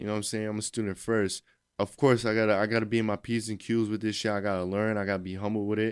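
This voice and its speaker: Very fast and fairly low in pitch, a man speaks with fairly even intonation on a very clean recording with a silent background. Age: 20s. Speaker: personal trainer. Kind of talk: casual chat.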